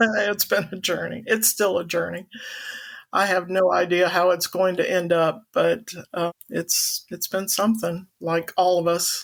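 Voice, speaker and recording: A woman at medium pitch with an American accent, vocal fry, fairly even intonation and a fairly slow pace. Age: 60s. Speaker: interview guest. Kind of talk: testimony. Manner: halting.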